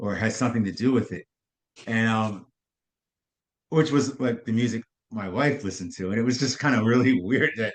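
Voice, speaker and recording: Against a quiet background, a man with an American accent speaks at a fairly quick pace in a medium pitch with ordinary variation, leaving long, frequent pauses. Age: 60s. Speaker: jazz pianist and composer. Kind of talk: interview conversation. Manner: halting, repeats words.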